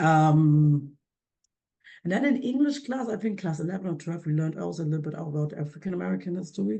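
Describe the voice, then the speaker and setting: A woman with a German accent talks at a very fast pace, her very deep, low pitch swinging very widely. Her tone is dark and mellow, and she is somewhat breathy. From Germany. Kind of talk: interview answer.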